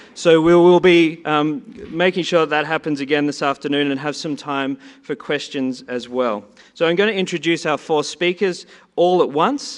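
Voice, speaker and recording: He speaks in an Australian accent. The man's pace is moderate. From Australia, Sydney. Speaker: conference session chair. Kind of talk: conference introduction of speakers.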